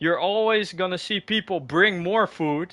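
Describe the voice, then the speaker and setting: Speaking in an animated tone, a man with a high pitch shows ordinary pitch variation. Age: 20s. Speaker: gaming streamer. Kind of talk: casual chat.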